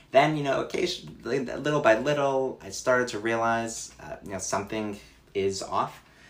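Against noticeable background noise and audible room echo, a man speaks at a moderate pace and medium pitch, with ordinary pitch variation and big swings in loudness. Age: 20s. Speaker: accountant and mental health advocate. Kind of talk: personal testimony in interview. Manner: hesitant, many fillers.

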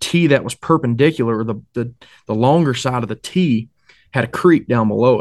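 A man with an Appalachian accent, medium in pitch, at a moderate pace with ordinary pitch variation. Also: quiet background. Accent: Appalachian Southern US. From North Carolina mountains, Boone area. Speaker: hunter and English teacher. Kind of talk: casual chat.

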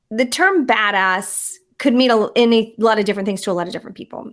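She speaks at a fairly quick pace with an American accent and ordinary pitch variation. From US Midwest, southeast Indiana. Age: 50s. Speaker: executive coach. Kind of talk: interview.

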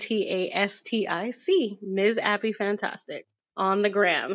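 Very slow speech in a woman's fairly high voice. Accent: New York. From US, Queens, New York City. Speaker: model and performer. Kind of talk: casual chat.

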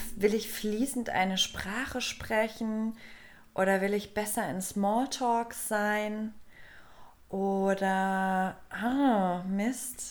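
A woman speaks very slowly, with long, frequent pauses. Her pitch is fairly high and her intonation fairly even. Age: 30s. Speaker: podcast co-host. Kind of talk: casual chat. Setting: studio.

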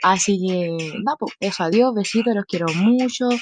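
With an animated tone, a woman speaks at a medium pitch with ordinary pitch variation. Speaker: podcaster. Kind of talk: casual monologue.

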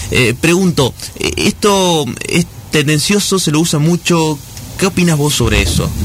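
A man talks at a fairly slow pace with long, frequent pauses, a fairly high pitch, ordinary pitch variation, and very even loudness, against noticeable background noise. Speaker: radio host. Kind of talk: radio interview.

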